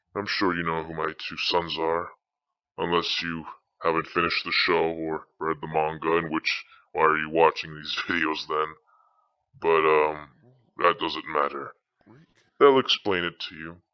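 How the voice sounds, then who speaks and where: A man's put-on character voice, very deep and low, at a moderate pace with long, frequent pauses. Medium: machinima. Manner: theatrical, rambling, wry asides.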